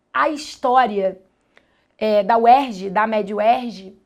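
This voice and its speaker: With a Carioca accent and ordinary pitch variation, a woman is heard on a very clean recording with a silent background. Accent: carioca Brazilian Portuguese. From Brazil, Rio de Janeiro suburbs. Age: 30s. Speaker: biology teacher. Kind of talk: documentary interview testimony.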